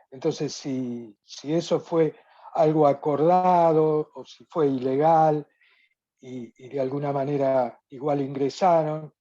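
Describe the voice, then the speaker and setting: Over a quiet background, a woman speaks very slowly in a very deep, low, dark, mellow voice with fairly even intonation and big swings in loudness. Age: 70s. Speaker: participant in online study group. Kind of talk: question in virtual talk. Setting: video call. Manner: halting, many fillers. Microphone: speaking via cellphone.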